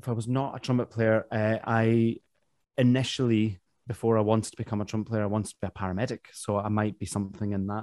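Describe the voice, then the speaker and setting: A man speaks very fast with a Glaswegian accent, at a medium pitch and in a flat monotone. The recording is very clean with a silent background, and the sound is dry and close with no echo. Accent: Glaswegian Scottish. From Glasgow, Scotland. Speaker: professional trumpet player. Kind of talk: interview conversation.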